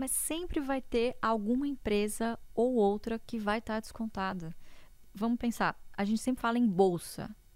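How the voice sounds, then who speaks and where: With ordinary pitch variation, a normal speaking voice proceeds at a moderate speed. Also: woman. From interior of São Paulo state, Brazil. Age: young. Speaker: economist and investor. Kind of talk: interview.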